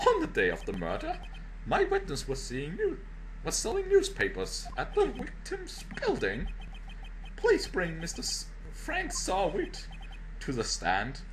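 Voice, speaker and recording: Over clear background noise, a man uses a put-on character voice at a moderate pace, with long, frequent pauses. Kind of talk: courtroom speech. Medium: game stream.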